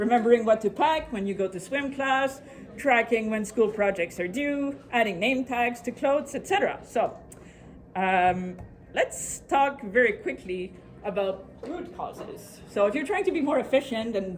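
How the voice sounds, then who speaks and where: A woman with a French accent and a high-pitched voice. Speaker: productivity speaker. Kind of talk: presentation to a live audience. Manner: fast.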